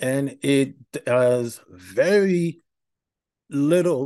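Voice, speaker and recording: A man speaks very slowly in a fairly high voice with a dark, mellow tone. His intonation is lively. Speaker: podcast host. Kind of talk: solo monologue about personal experience. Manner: halting, many filler words; candid, reflective.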